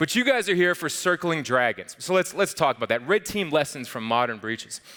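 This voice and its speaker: Bright and sharp in tone, a man with an American accent talks at a fairly quick pace with lively intonation. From northern central United States. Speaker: security conference speaker, red team lead. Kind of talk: conference talk. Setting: stage with audience. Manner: animated, many fillers and repetitions.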